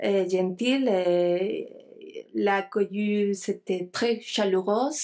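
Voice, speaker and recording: A woman's dark, mellow tone at a very slow pace, with fairly even intonation, on a very clean recording with a silent background. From Spain (Galicia, Santiago de Compostela). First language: Spanish (speaking French). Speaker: archaeologist, lecturer. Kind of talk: lecture. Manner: halting, many hesitations.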